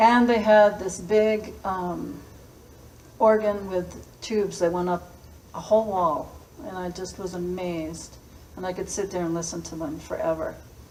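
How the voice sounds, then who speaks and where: A woman's medium-pitched voice in an American accent, fairly slow and fairly even in intonation, amid noticeable background noise and audible room echo. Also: big swings in loudness. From Massachusetts, US. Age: 60s. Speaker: school principal. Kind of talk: personal storytelling talk.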